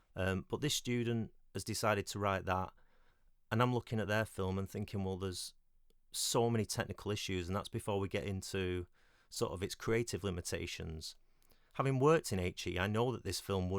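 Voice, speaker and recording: In a British accent, a man speaks at a fairly low pitch with ordinary pitch variation, recorded very cleanly against a silent background. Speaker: independent filmmaker and former film lecturer. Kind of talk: solo podcast monologue. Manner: halting, many fillers.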